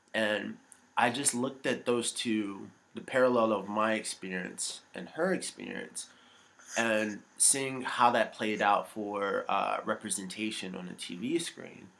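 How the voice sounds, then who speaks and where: A man with a normal speaking voice, medium pitch, ordinary pitch variation and a fairly slow pace. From United States. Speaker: actor and comedian. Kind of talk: casual interview chat. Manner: friendly, laid-back, laughs often.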